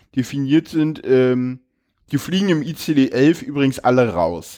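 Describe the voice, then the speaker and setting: There's a dark, mellow tone to his voice. He varies his pitch in an ordinary way. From Berlin. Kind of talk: casual interview chat.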